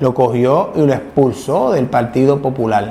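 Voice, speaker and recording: A man speaks over noticeable background noise. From Puerto Rico, Ponce. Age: 50s. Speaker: lawyer and political analyst hosting an online show. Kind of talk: political commentary and interview.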